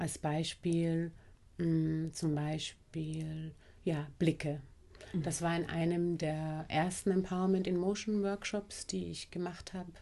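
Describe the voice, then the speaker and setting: A woman speaks at a very slow pace in a fairly low voice. Her intonation is monotone and flat. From Austria, Vienna. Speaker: anti-racism trainer and bodyworker. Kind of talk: casual interview conversation.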